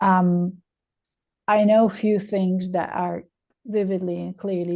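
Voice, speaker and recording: A woman's fairly low voice with a non-native accent. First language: not English. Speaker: webinar attendee. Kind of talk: audience question.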